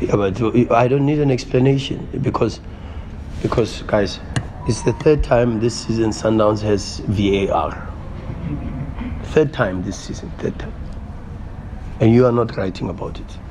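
Amid noticeable background noise, a man talks at a fairly slow pace with ordinary pitch variation and long, frequent pauses. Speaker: football coach. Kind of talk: press conference answer. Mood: frustrated, emphatic. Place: meeting room. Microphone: podium.

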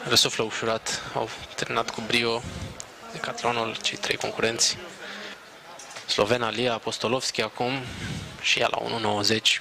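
Against noticeable background noise, a man talks at a fairly slow pace in a monotone, flat intonation, with long, frequent pauses. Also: medium pitch for a man. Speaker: sports commentator. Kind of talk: live sports commentary. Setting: outdoor stadium event broadcast.

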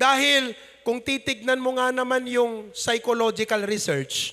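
A man speaks in a raised, projected voice at an extremely high pitch with ordinary pitch variation, over a quiet background. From Philippines, Ilocos region. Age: 30s. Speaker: pastor. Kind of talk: sermon. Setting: church. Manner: animated. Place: church. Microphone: handheld.

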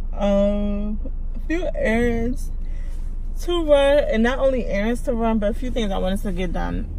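Speaking at a fairly slow pace, a woman uses ordinary pitch variation. There is light background noise, and the sound is dry with no echo. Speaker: vlogger. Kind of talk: casual vlog chat. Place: car. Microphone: phone near.

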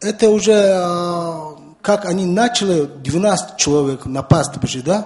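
A man speaks very slowly in a Mongolian accent. His voice is high, with ordinary pitch variation. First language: Mongolian (speaking Russian). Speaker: environmental activist. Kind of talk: round table discussion. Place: meeting room. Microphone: podium.

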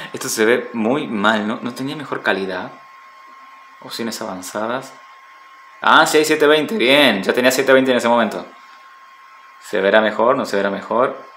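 Amid noticeable background noise and audible room echo, a man with a medium pitch and ordinary pitch variation speaks at a fairly slow pace with long, frequent pauses. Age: 30s. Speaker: gaming streamer. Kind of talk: live gaming stream. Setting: at home. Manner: animated.

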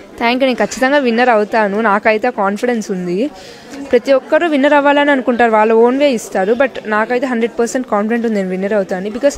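A woman's fairly high-pitched voice with ordinary pitch variation, a dry sound with no echo, and light background noise. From Nellore, Andhra Pradesh; Andhra Pradesh. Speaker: beauty pageant contestant. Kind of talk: street interview. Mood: confident, self-assured. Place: hall. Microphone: handheld.

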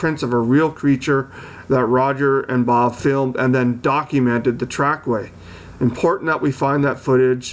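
Intonation stays fairly even as a man speaks at a moderate pace. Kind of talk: casual commentary to camera.

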